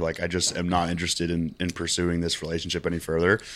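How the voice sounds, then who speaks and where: A man's very deep, low voice at a very fast pace in a very clean recording with a silent background. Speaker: fitness content creator and online coach. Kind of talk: casual chat.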